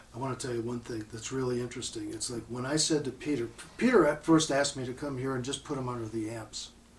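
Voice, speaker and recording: Amid noticeable background noise, a man at medium pitch rushes along at a very fast pace with fairly even intonation. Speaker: audio equipment manufacturer. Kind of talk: casual interview chat.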